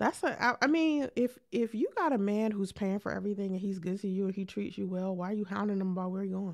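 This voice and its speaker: In a very clean recording with a silent background, a woman speaks very fast at a medium pitch with ordinary pitch variation and hardly any pauses. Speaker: podcast host and live streamer. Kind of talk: live stream chat. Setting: live stream. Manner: soft-spoken.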